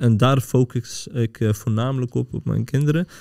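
A man's medium-pitched voice with a dark, mellow tone, ordinary pitch variation, a moderate pace and a quiet background. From Netherlands, Pakistani family. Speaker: podcast host. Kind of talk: casual chat. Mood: earnest, reflective. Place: studio. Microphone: studio mic.

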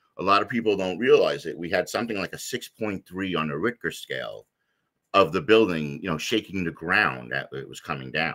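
A man with a very deep, low pitch and vocal fry, at a fairly quick pace with lively intonation and big swings in loudness, over a quiet background. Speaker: podcast guest, 9/11 survivor. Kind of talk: interview answer. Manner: frequent filler words, rambling. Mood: earnest personal storytelling.

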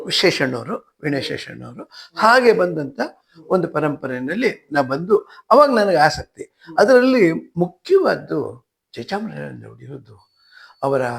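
His voice high-pitched, a man makes very wide pitch swings and big swings in loudness. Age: 80s+. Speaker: veena musician and scholar. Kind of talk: interview.

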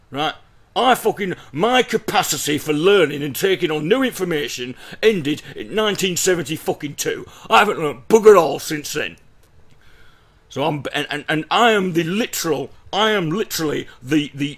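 Nothing much stirs in the quiet background. A man talks over it with lively intonation. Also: moderate pace. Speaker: reaction video host. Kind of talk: commentary. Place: home room.

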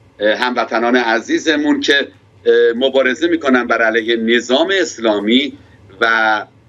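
Keeping very even loudness, a man speaks at a fairly slow pace with ordinary pitch variation. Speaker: pastor interviewed. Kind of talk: interview. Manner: formal. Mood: warm, smiling, animated. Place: office. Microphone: audio connection dropping out; webcam.

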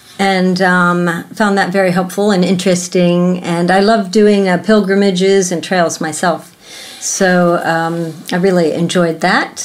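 With noticeable background noise, a woman at a medium pitch speaks in a monotone, flat intonation and very even loudness. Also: fairly slow pace. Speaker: podcast host. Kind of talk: casual interview chat. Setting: in-person recording.

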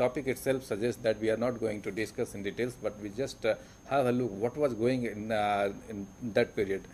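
With light background noise behind him, a man talks at a fairly quick pace using fairly even intonation. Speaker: program host. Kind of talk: lecture. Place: studio.

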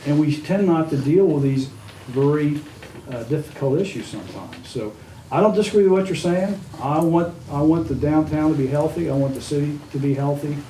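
At a fairly quick pace, a man with a fairly high pitch is heard amid noticeable background noise and audible room echo. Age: 70s. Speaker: city council member. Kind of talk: town hall meeting discussion. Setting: public meeting.

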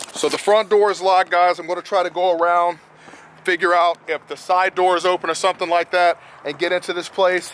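The delivery is a flat monotone at a fairly quick pace. The sound is dry with no echo, with light background noise. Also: man, high pitch for a man. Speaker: paranormal vlogger. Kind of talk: casual vlog chat. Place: open country. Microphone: phone near.

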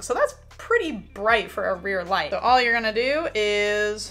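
A woman's pitch varies in an ordinary way while she talks at a moderate pace. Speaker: product reviewer. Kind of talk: product review tutorial. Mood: upbeat, friendly. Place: home room.

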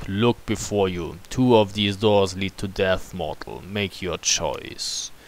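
Over clear background noise, a man in a put-on character voice speaks with a menacing tone, fairly low pitch and fairly even intonation, at a fairly slow pace with hardly any pauses. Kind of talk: fantasy narration. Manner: slow, menacing, commanding.

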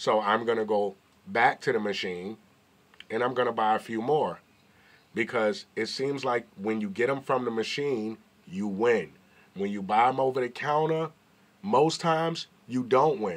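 A man with an American accent at a moderate pace, ordinary pitch variation and long, frequent pauses. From New York. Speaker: YouTuber. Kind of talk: casual vlog commentary. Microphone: phone near.

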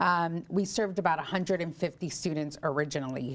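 The woman's pitch varies in an ordinary way as she talks. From California. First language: Spanish. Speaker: charter school executive. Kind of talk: interview. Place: studio.

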